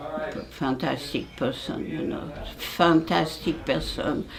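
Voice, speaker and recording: In a French accent, a woman speaks at a very slow pace with a very deep, low pitch, amid noticeable background noise and audible room echo. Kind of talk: oral history interview. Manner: halting.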